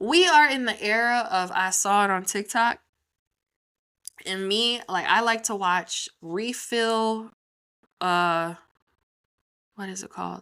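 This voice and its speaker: A woman speaks in a bright, sharp, animated tone with lively intonation. The recording is very clean, with a silent background. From US Midwest, Chicago. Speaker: podcast host. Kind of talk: casual solo commentary. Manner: fast.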